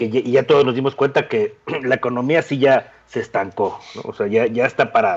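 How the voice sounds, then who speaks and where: A man with a fairly high pitch speaks at a fairly slow pace in a plain, everyday voice. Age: 40s. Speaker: podcast co-host, woodworking YouTuber. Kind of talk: casual chat. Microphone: poor microphone.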